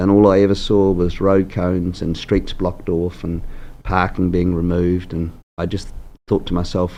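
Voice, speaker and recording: Speaking at a moderate pace with a New Zealand accent, a man has a very deep, low pitch, a dark, mellow tone and monotone, flat intonation. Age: 60s. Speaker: mayoral candidate. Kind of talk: interview.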